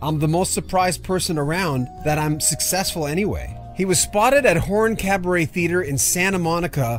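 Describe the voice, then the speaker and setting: Music plays in the background as a man speaks at a high pitch with ordinary pitch variation. His pace is fairly quick. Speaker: news presenter. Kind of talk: obituary news commentary.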